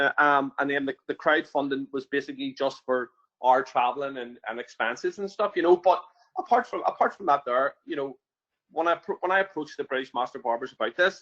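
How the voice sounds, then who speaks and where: Speaking at a fairly quick pace with an Irish accent, a man with a fairly high pitch shows ordinary pitch variation in a dry, close sound with no echo. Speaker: barber and prison volunteer trainer. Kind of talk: webinar interview. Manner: halting, many fillers.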